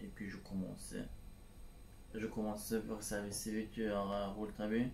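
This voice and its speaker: A man's fairly low voice with a Turkish accent and audible room echo. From Turkey, Istanbul. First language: Turkish (speaking French). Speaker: civic service volunteer. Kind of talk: testimony. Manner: halting, many hesitations.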